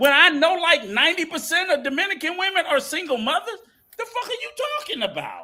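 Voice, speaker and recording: Music plays in the background as a raised, projected voice speaks at a fairly quick pace in an animated tone with lively intonation, with audible room echo. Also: man. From United States. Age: 60s. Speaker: podcast panelist. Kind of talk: heated debate.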